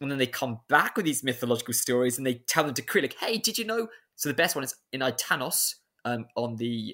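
A man with a British accent at a very fast pace, on a very clean recording with a silent background. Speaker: PhD researcher. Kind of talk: interview on ancient history.

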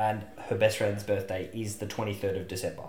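A somewhat breathy man at a fairly low pitch and fairly quick pace, with audible room echo. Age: 30s. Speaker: podcast co-host. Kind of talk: casual comedic chat.

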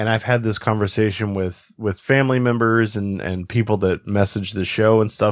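Here is a man with a plain, everyday voice and a fairly low pitch. He talks at a fairly quick pace with fairly even intonation. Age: 30s. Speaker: podcast host. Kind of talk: casual interview.

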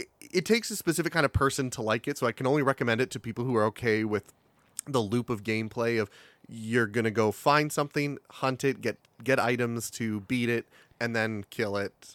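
Talking at a fairly quick pace, a man with an unremarkable speaking voice holds a medium pitch with ordinary pitch variation, in a very clean recording with a silent background and a dry, close sound with no echo. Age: 30s. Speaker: podcast guest. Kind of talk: casual chat.

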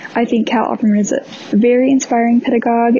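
A woman talks at a very fast pace with fairly even intonation over noticeable background noise. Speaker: listener and volunteer copy editor.

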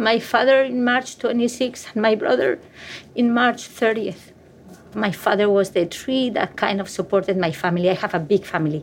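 This woman has a fairly high voice and a Spanish accent. Her intonation is lively. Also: moderate pace. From Spain. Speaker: pediatrician. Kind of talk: interview testimony.

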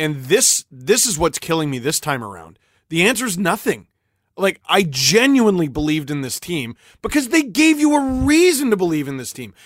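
A man with a high voice speaks with big swings in loudness and very wide swings in pitch. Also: moderate pace, very clean recording, silent background. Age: 30s. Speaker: hockey YouTuber and commentator. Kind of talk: casual chat. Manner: animated.

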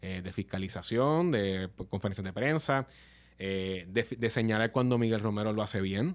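A man's fairly low voice with ordinary pitch variation, an ordinary speaking voice. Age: 30s. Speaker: politician. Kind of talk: casual chat.

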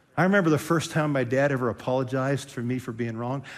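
A man with an American accent and a fairly high pitch talks at a moderate pace with ordinary pitch variation, in a room with audible echo. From Western Pennsylvania. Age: 60s. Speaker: pastor. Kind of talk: sermon.

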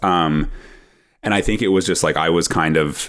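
In a Canadian accent with ordinary pitch variation, the voice comes through on a very clean recording with a silent background. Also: man. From Canada (Ottawa). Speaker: professional golfer and content creator. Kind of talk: casual interview chat. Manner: fast, halting with many fillers and restarts.

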